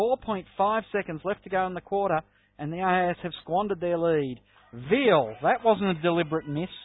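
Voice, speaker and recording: An Australian-accented man speaks at a moderate pace in a high voice, with ordinary pitch variation. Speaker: basketball play-by-play commentator. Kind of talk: live sports commentary.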